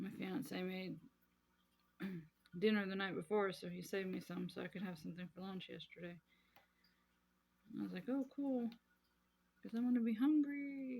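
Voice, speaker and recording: Her intonation lively, a woman talks at a moderate pace and medium pitch. She sounds somewhat breathy and leaves long, frequent pauses. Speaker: crafting vlogger. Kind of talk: casual chat. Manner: chatty.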